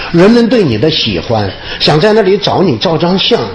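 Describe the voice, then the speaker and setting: Over noticeable background noise, a man talks in a fairly high voice. His pitch swings very widely. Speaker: comedian. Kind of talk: public speech. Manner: humorous.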